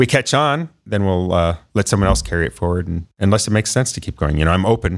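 A man with a very deep, low pitch talks at a very fast pace with hardly any pauses and lively intonation. He has an American accent, and the recording is very clean with a silent background. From northwest Ohio, US Midwest. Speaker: inventor and tech founder. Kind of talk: interview. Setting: studio. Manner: energetic.

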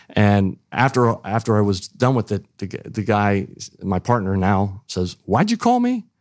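A man with a Midwestern US accent and a fairly low pitch, fairly slow pace and fairly even intonation, on a very clean recording with a silent background. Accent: US Midwest. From eastern Ohio, rural. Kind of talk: interview.

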